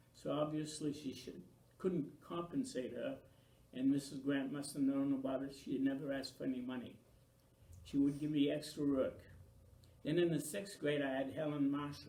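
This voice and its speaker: A man's fairly high, dark, mellow voice at a moderate pace, with fairly even intonation, long, frequent pauses and audible room echo. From Maine, US (Franco-American). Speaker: local elder interviewee. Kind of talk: oral history interview.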